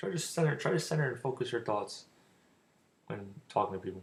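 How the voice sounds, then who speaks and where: His intonation is lively and his voice somewhat breathy as this man speaks. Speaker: youtuber giving dating advice. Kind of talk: casual vlog monologue. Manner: rambling, repetitive.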